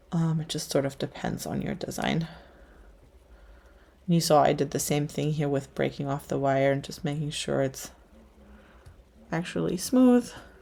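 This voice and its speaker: A woman's very deep, low voice, dark and mellow in tone, with a slight German accent, ordinary pitch variation and long, frequent pauses. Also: moderate pace. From Germany. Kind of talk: livestream craft tutorial chat. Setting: livestream at work table. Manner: casual, hesitant with fillers.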